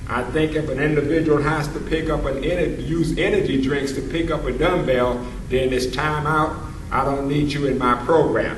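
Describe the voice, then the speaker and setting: Speech comes at a moderate pace, with audible room echo and noticeable background noise. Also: man, fairly high pitch for a man, fairly even intonation. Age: 60s. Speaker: senior weightlifter. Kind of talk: casual video demonstration. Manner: halting.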